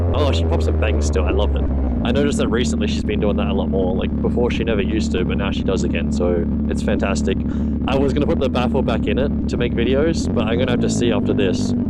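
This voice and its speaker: A man with a very deep, low voice speaks very fast at a very even loudness and with ordinary pitch variation, while noticeable background noise and audible room echo fill the recording. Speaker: motovlogger. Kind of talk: casual vlog monologue. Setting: riding a motorcycle.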